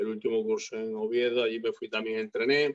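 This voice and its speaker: A man's voice at a moderate pace, with a dry, close sound and no echo. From Galicia, Spain. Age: 50s. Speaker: retired bodybuilder. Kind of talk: interview.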